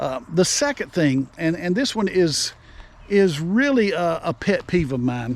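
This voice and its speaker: A man's high voice at a fairly slow pace, with very wide pitch swings. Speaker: online video host giving selling tips. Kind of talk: casual unscripted tutorial. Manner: halting, tongue-tied at times; spontaneous, unscripted.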